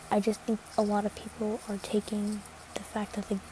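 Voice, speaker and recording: Soft-spoken delivery at a moderate pace amid noticeable background noise. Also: woman. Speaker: social media creator. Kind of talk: casual chat. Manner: halting.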